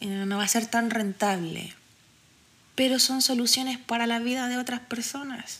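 In a Chilean accent, a woman speaks at a moderate pace with a fairly high pitch. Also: fairly even intonation. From Chile, Santiago (Quinta Normal). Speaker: podcast host. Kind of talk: solo podcast monologue. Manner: casual, frequent fillers.

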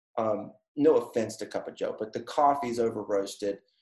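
A man with an American accent talks in a medium pitch with a dark, mellow tone. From North Carolina, Durham. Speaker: co-working space owner. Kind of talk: casual interview. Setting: video call. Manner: halting, many fillers.

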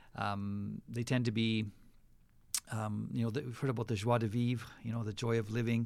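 Speaking with a western Canadian accent, a man keeps a medium pitch and monotone, flat intonation at a moderate pace. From western Canada. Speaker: pastor. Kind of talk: casual interview. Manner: halting, with frequent fillers.

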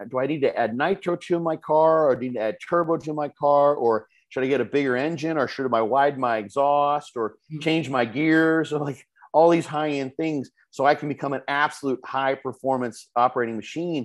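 Over a quiet background, a man in an ordinary speaking voice talks at a fairly quick pace and a fairly high pitch, with fairly even intonation. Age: 50s. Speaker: bodybuilding expert. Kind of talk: casual chat.

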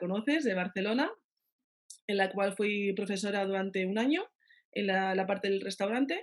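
With a normal speaking voice, a woman talks at a moderate pace. Her fairly high pitch shows ordinary variation. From Navarre, Spain (Pamplona). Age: 30s. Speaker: pastry chef. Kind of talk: interview.

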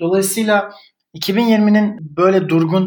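A man is speaking. His intonation is fairly even. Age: 30s. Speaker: writer and digital marketer. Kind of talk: casual chat. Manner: halting, many fillers.

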